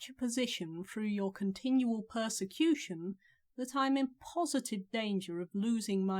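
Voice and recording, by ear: Natural-voiced reading aloud, the pitch varying in an ordinary way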